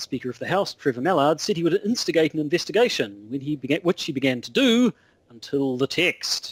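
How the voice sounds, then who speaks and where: With a New Zealand accent, a man talks at a fairly quick pace in a fairly high pitch, using very wide pitch swings, and the sound is dry and close with no echo. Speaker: podcast co-host. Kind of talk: casual chat. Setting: Skype call.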